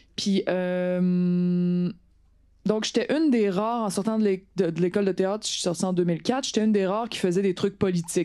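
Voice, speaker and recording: In a Quebec accent, the speaker uses a dark, mellow tone at a moderate pace, with ordinary pitch variation over a quiet background. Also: woman. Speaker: politician and actress. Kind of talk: talk to an audience.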